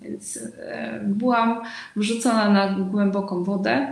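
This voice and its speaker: Audible room echo surrounds a woman's somewhat breathy voice at a medium pitch. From Uzbekistan. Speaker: entrepreneur running women's projects. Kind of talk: live-streamed panel discussion.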